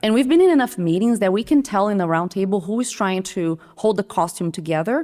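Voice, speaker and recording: A woman speaks with a Brazilian Portuguese accent. Her tone is dark and mellow. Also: very clean recording, silent background. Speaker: creative director, design leader. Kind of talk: podcast interview. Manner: animated.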